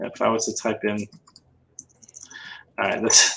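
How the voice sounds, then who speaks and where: A man is speaking. The tone comes across bright and sharp. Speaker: reseller livestream co-host. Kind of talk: casual chat. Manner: slightly slurred speech.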